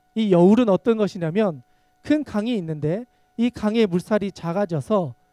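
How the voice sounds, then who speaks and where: A man with a high pitch and a dark, mellow tone speaks at a fairly slow pace, using ordinary pitch variation in a dry, close sound with no echo. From Gyeongsang region, South Korea. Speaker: pastor. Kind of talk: sermon.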